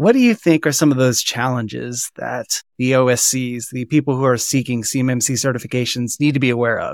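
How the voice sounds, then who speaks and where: A man with an ordinary speaking voice talks at a medium pitch and a fairly quick pace, with fairly even intonation and hardly any pauses. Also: dry, close sound with no echo. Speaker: podcast host. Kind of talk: casual interview.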